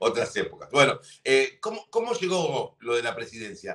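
A man with a Rioplatense accent at a moderate pace against a quiet background. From Argentina. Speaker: sports TV host. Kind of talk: interview. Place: home room. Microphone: headset.

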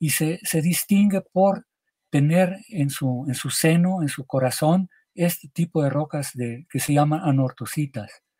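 A man speaks fairly slowly in a dark, mellow tone at a fairly high pitch, with ordinary pitch variation. The background is quiet. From Mexico, Michoacán. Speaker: geologist; interviewee. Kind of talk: interview. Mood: calm explanatory. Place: home room.

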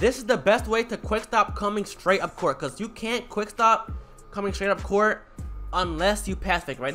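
A man's high-pitched, raised, projected voice over music in the background. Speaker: gaming tutorial youtuber. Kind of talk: casual slang. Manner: fast talker.

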